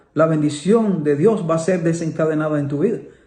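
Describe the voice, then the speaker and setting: A man's dark, mellow tone in audible room echo. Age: 70s. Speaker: pastor. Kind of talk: sermon. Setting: online livestream from home.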